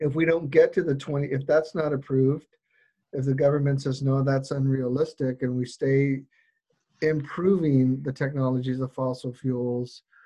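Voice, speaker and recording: Somewhat breathy and with a dark, mellow tone, a man speaks in an American accent with monotone, flat intonation. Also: fairly high pitch for a man, moderate pace. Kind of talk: casual interview questions. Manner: halting, self-correcting.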